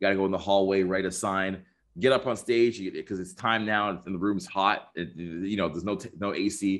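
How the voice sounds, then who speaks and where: A man speaks in an ordinary speaking voice, pitched fairly low. His pace is fairly quick, with ordinary pitch variation. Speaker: social skills coach and dating expert. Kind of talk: casual interview chat.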